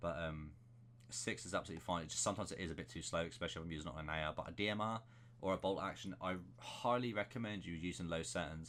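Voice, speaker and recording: A man talks at a very fast pace with a very deep, low pitch and vocal fry. His pitch variation is ordinary. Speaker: gaming YouTuber. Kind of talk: gameplay settings tutorial.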